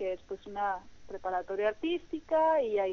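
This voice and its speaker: A woman's fairly high voice at a very slow pace. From Mexico, Sonora (Hermosillo). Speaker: dancer and dance teacher. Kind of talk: interview. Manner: hesitant, many fillers.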